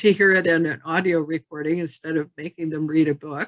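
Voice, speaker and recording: A woman at a fairly low pitch with fairly even intonation, music in the background. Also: dry, close sound with no echo. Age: 60s. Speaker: genealogy presenter. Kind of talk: Q&A after a presentation.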